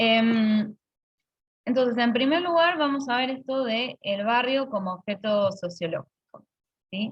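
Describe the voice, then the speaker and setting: A woman with a high pitch, lively intonation and a fairly slow pace. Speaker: university lecturer. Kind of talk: online lecture. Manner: halting, many fillers.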